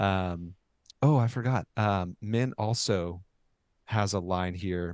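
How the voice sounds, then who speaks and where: Against a quiet background, a man with an American accent speaks at a fairly low pitch with ordinary pitch variation in an ordinary speaking voice. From Oklahoma. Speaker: podcast co-host. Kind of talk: casual chat.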